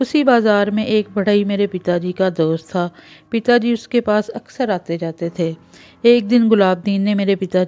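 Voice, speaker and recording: This woman's voice sits at a medium pitch with a dark, mellow tone. The sound is dry and close, with no echo. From Pakistan. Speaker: voice-over artist and story writer. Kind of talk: read moral story narration.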